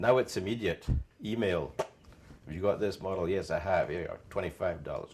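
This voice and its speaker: Somewhat breathy, a man with an American accent speaks at a moderate pace. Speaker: car literature collector. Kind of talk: oral history interview. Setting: at home.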